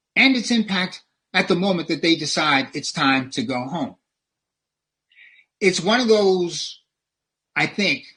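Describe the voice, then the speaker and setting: A man with a high pitch and an American accent speaks at a fairly slow pace in a bright, sharp tone, using lively intonation broken by long, frequent pauses. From US South (New Orleans, Louisiana). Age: 70s. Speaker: public health professor. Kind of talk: lecture. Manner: preacher-like, sermon-style delivery.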